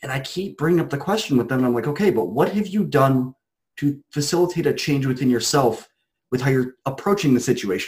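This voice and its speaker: With an American accent, a man talks at a fairly quick pace and a fairly high pitch. His voice is somewhat breathy, with lively intonation. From Ohio, US Midwest. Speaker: podcast host and coach. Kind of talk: roundtable discussion.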